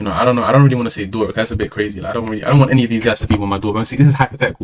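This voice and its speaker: A man with a London accent at a very fast pace, his intonation fairly even. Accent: London multicultural English. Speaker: streamer. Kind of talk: casual monologue.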